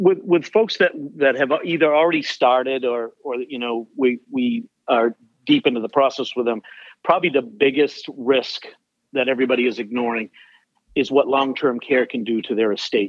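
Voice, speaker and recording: Medium pitch and ordinary pitch variation mark this man's a plain, everyday voice. He talks at a moderate pace with an American accent. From Maine, US. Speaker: financial planner. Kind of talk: interview.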